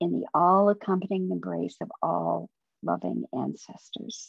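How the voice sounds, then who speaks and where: Soft-spoken and gentle in tone, a woman with an American accent speaks at a very slow pace in a dry sound with no echo against a quiet background. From Vermont, US. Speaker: poet and hospice volunteer; poet. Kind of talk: poetry reading, quiet and reflective. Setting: video call. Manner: slow, gentle, soft-spoken, tender. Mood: calm, reflective, gentle. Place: home room. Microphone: webcam.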